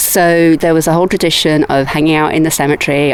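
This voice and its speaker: Amid noticeable background noise, a woman with an English accent talks at a fairly quick pace in a very deep, low voice with monotone, flat intonation. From England. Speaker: writer and historian. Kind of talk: casual walking tour chat.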